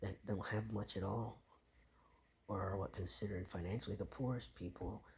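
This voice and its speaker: Showing vocal fry, a man talks at a moderate pace and a fairly low pitch, his intonation fairly even. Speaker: vlogger. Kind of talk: casual monologue. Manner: halting, self-correcting.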